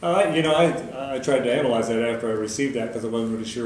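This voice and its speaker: Against noticeable background noise, a man with a medium pitch speaks with an American accent. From Nebraska, USA. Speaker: auctioneer. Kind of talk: interview answer.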